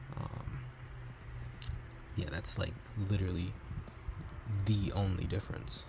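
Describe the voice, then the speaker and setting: A man talks quietly at a moderate pace. Noticeable background noise runs under his voice. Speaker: console modder. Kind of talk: casual tutorial talk to camera.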